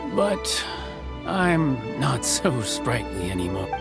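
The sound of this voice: Over clear music, a man uses a put-on character voice, talking slowly with big pitch swings and vocal fry. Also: medium pitch for a man.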